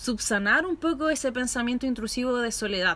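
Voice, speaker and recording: Bright and sharp in tone, the voice moves at a moderate pace. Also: woman. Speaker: podcast host. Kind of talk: casual chat. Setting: outdoors in a patio.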